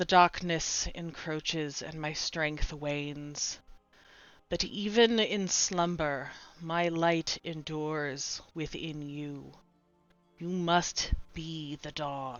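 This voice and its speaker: Soft-spoken and very slow, a woman puts on a character voice with a very deep, low pitch. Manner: weary.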